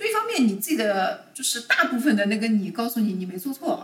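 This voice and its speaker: At a moderate pace, a woman with a fairly high pitch speaks in an unremarkable speaking voice. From China, Shanghai. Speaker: corporate lawyer. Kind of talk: casual chat.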